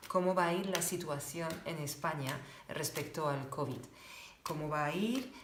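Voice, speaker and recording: Heard with noticeable background noise and audible room echo, the speaker has a French accent and ordinary pitch variation. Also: woman, very deep, low pitch for a woman. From France. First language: French (speaking Spanish). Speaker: tarot reader. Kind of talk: tarot reading tutorial. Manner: halting, many fillers.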